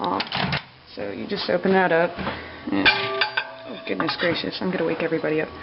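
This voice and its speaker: The voice is quiet, with noticeable background noise around it. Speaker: vlogger. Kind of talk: cooking tutorial. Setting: home kitchen at night. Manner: speaking quietly; casual, hesitant with fillers.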